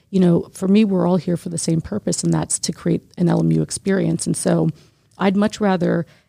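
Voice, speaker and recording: A woman speaks with an American accent at a fairly quick pace. The sound is dry and close, with no echo. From New Jersey. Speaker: university student affairs administrator. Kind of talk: casual chat.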